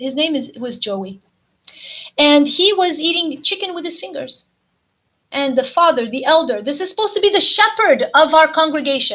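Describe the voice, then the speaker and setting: A woman with a Portuguese accent speaks in an extremely high pitch, raised and projected, with very wide pitch swings. She leaves long, frequent pauses. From US, Portuguese-speaking immigrant community. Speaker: ex-cult member, author. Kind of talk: testimony.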